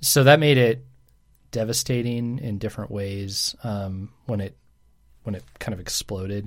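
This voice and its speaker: On a very clean recording with a silent background, a man with an unremarkable speaking voice talks at a fairly slow pace, his pitch fairly low, with ordinary pitch variation and big swings in loudness. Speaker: pastor. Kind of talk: casual chat.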